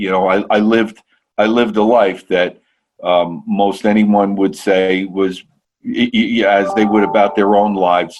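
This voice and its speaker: Delivered at a fairly slow pace, the speech has fairly even intonation and an American accent. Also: man. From North Jersey, US. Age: 60s. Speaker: podcast guest sharing psychedelic healing story. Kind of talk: interview, personal testimony. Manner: halting, many repetitions and fillers.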